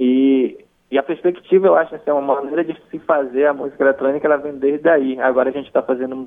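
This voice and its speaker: A man with a medium pitch rattles along at a very fast pace. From Maués, interior of Amazonas, Brazil. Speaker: musician and DJ. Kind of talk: interview.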